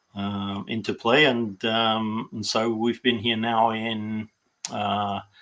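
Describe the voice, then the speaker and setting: Pitched in the medium range, a man speaks at a very slow pace. His intonation is monotone and flat. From UK. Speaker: political party volunteer. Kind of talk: interview. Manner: halting, many fillers.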